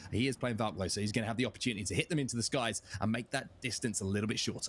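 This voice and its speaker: A man with an English accent talks at a very fast pace in a medium pitch, somewhat breathy, with ordinary pitch variation and very even loudness. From England. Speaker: esports commentator. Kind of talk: live commentary.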